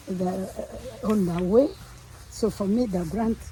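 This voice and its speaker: A woman speaking at a very slow pace. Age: 80s+. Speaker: coffee farmer. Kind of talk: interview answer.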